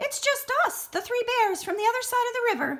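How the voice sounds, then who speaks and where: An extremely high, squeaky put-on character voice. It moves along at a fairly quick pace. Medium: read story.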